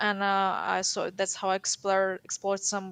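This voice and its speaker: With a Ukrainian accent, a woman speaks at a medium pitch and a fairly slow pace. The sound is dry and close with no echo, over a quiet background. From Ukraine. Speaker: caller to language show. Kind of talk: casual interview. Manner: halting.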